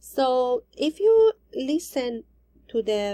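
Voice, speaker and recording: A woman's dark, mellow tone with a non-native accent. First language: not English. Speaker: ESL teacher in training. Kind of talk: recorded assignment presentation. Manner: halting.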